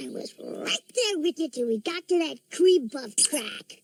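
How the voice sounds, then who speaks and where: The speaker uses a high-pitched, cartoonish character voice. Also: moderate pace. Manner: tough, taunting.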